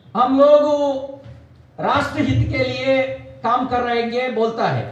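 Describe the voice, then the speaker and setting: A man with a Kannada accent at an extremely high pitch, fairly even in intonation, with audible room echo and noticeable background noise. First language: Kannada (speaking Hindi). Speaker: politician. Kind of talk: political speech. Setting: press meet with party workers. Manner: halting, non-fluent Hindi.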